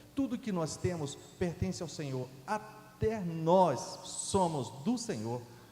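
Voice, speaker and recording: Amid noticeable background noise and audible room echo, a man speaks at a very slow pace with very wide pitch swings. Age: 60s. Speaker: guest preacher. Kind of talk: sermon. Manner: halting, with false starts.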